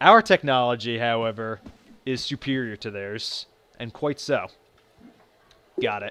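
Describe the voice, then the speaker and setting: Dry and close with no echo, this very clean recording over a silent background has a man speaking at a fairly slow pace in a bright, sharp tone, his pitch varying in an ordinary way, his loudness swinging widely, and his speech broken by long, frequent pauses. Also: medium pitch for a man. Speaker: video game let's play narrator. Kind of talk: gameplay commentary. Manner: halting, many fillers and restarts.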